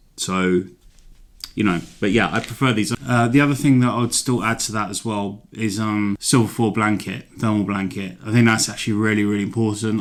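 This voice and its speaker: Here a man speaks with an English accent at a fairly low pitch. His intonation stays fairly even. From London, England. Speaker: hiking vlogger. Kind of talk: gear tutorial. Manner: casual, rambling with fillers.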